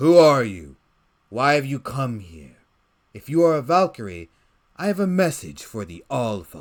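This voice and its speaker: A man's put-on character voice at medium pitch, with very wide pitch swings, a moderate pace and long, frequent pauses. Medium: audio drama. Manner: grim, menacing.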